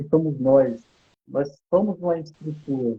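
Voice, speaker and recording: A man with a plain, everyday voice, at a moderate pace with fairly even intonation. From Goiás, Brazil. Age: 40s. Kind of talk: interview.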